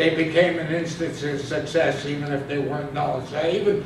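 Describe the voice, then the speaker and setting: With audible room echo and noticeable background noise, a man speaks at a moderate pace and fairly high pitch. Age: 70s. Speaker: student presenter. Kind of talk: class presentation. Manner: halting.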